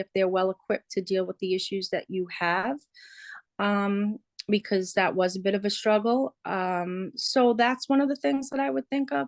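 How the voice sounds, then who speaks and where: A woman talks at a moderate pace in a New York accent, her pitch fairly high. The sound is dry and close with no echo, against a quiet background. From New York City, Queens. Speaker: interviewee, resident. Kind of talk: interview. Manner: hesitant, many fillers.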